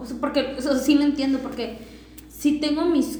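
Noticeable background noise and audible room echo behind a high female voice. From Sinaloa, Mexico; raised partly on a ranch. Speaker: podcast guest. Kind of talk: casual chat.

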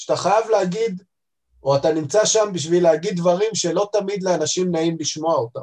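Keeping his loudness very even, a man talks in a high pitch. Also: ordinary pitch variation, fairly quick pace. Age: 30s. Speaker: head of quality at a pharmaceutical distributor. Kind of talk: interview.

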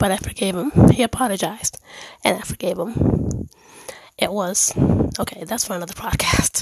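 A whispering woman at a moderate pace, with long, frequent pauses and noticeable background noise. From Dominican heritage, born in Germany. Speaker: faith podcaster. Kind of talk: personal monologue. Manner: pausing for breath.

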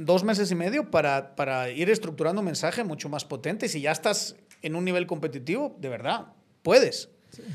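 The delivery is fairly quick, with lively intonation and big swings in loudness. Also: man, high pitch for a man. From Spain, Zamora. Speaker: podcast host and political analyst. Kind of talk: casual political discussion. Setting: studio.

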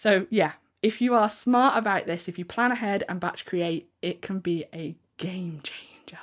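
On a very clean recording with a silent background, a woman with an unremarkable speaking voice talks at medium pitch and a fairly slow pace. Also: ordinary pitch variation. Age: 30s. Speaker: podcast host and handmade business coach. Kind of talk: solo podcast monologue. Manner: casual, conversational.

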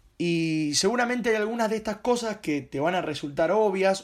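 Speaking at a moderate pace with a Rioplatense accent, a man with a high voice uses lively intonation in a very clean recording with a silent background. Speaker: journalist and podcaster. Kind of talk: solo podcast monologue.

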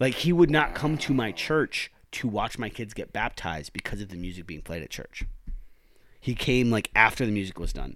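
The speech keeps a moderate pace while its pitch swings very widely. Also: man, medium pitch for a man. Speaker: podcast host. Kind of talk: casual chat.

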